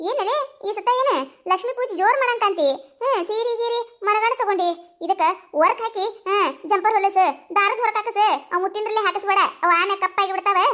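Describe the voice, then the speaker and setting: In a squeaky, cartoonish character voice with an extremely high pitch, a woman speaks at a moderate pace. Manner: warm, enthusiastic.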